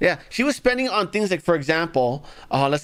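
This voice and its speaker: Very wide pitch swings mark this voice, which has an American accent. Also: man. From Los Angeles, US. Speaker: political commentary streamer. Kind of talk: live commentary. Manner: sarcastic, mocking.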